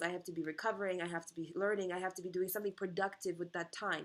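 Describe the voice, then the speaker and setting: The speaker is a woman with a Russian accent. Her intonation is fairly even. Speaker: vlogger. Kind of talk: personal monologue. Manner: rambling, halting.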